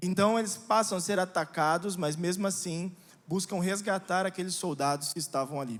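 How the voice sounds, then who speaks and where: With a São Paulo accent, a man talks in a high voice with ordinary pitch variation. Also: moderate pace. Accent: São Paulo Brazilian Portuguese. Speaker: pastor. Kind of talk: sermon. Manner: hesitant fillers.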